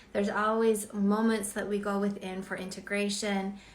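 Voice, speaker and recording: A woman's medium-pitched voice, flat and monotone, with audible room echo. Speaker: spiritual channeler and author. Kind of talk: live stream intuitive reading. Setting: live stream. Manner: quiet and slow normally.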